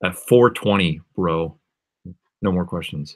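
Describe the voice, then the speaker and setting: A man with an American accent speaks at a very deep, low pitch. His intonation is lively, and the background is quiet. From Massachusetts, outside Boston. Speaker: music producer and livestreamer; live streamer. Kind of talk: casual livestream chat. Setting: live stream from home studio. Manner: casual, filler-heavy. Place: home room. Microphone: webcam.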